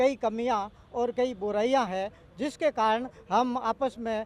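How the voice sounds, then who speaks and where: Music plays in the background. A man speaks at an extremely high pitch with fairly even intonation. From Rajasthan, Barmer desert region. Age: 60s. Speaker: activist. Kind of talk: interview. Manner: halting.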